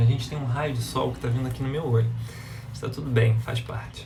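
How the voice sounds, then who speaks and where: A man with a Brazilian accent, recorded with audible room echo. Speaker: live-stream self-development speaker. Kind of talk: live stream talk to viewers. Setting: Instagram live, outdoors in sunlight.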